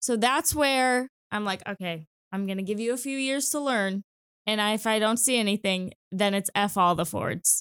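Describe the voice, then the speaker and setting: An unremarkable speaking voice from a woman, fairly high in pitch, with ordinary pitch variation, a moderate pace and a dry, close sound without echo. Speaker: sports broadcaster. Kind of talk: casual chat. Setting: studio.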